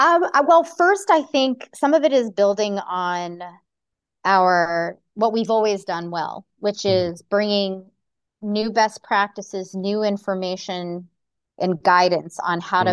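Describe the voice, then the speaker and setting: In an American accent, a woman talks at a fairly slow pace with medium pitch and lively intonation against a quiet background. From Connecticut. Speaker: nonprofit executive director. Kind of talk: interview.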